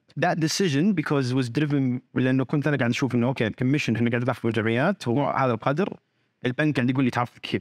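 A man talks at a very fast pace and medium pitch, with ordinary pitch variation, very even loudness and hardly any pauses. The recording is very clean with a silent background, and the sound is dry and close with no echo. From Saudi Arabia, teen years in Australia. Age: 30s. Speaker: startup founder. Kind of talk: interview.

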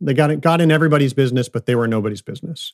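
In a very clean recording with a silent background and a dry, close sound with no echo, a man with an American accent and a fairly high pitch speaks in an unremarkable speaking voice, with ordinary pitch variation. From US Midwest, outside Detroit, Michigan. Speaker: climate nonprofit founder, former finance executive. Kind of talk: interview conversation.

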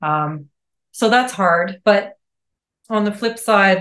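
A woman's voice with a Western Canadian accent. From Calgary, Alberta, Canada. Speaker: ecologist and environmental planner. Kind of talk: casual interview.

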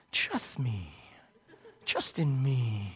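Low-to-middle pitch in a put-on character voice. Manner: hissing, slithery, persuasive.

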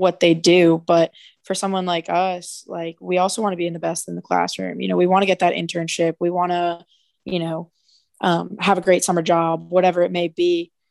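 With an American accent, a woman's fairly low voice has a monotone, flat intonation. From New Jersey. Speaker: former college athlete and mental health advocate. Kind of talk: casual interview conversation.

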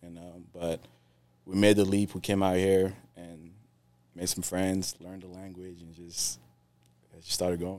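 Very deep and low in pitch, a man speaks in a dark, mellow tone with monotone, flat intonation, big swings in loudness and long, frequent pauses, on a very clean recording with a silent background. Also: moderate pace. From West Africa, moved to Virginia at ten. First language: Creole. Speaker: pest control salesman. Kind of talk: casual interview.

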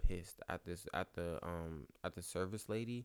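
This man speaks at a fairly slow pace. His pitch variation is ordinary. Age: young. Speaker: podcast co-host. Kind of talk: casual chat.

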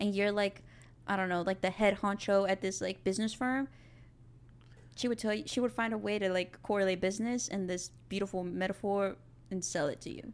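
A woman with an American accent speaks at a fairly quick pace in a medium pitch, with ordinary pitch variation, on a very clean recording with a silent background. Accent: South Texas Mexican American English. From South Texas, Rio Grande Valley. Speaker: film student. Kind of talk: casual chat. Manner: animated.

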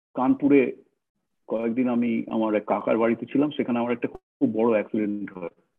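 With an ordinary speaking voice, a man talks at a medium pitch and with fairly even intonation. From North Kolkata, India. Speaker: author and former RSS member turned activist. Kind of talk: interview conversation.

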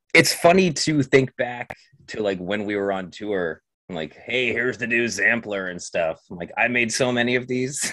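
With an ordinary speaking voice, a man talks at a moderate pace and medium pitch, with lively intonation and big swings in loudness. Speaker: special co-host. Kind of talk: casual chat. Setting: video call.

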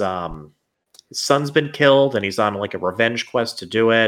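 A man talks at a fairly slow pace with lively intonation. He has an ordinary speaking voice. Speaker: guest gamer. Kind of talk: casual chat.

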